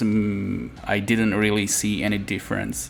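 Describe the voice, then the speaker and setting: A man talks in a fairly low pitch. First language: not English. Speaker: 3D art tutorial creator. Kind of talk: tutorial. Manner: halting, many fillers.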